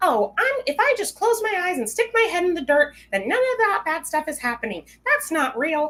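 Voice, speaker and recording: This put-on character voice is extremely high with very wide pitch swings. It runs at a moderate pace with hardly any pauses. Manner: mocking.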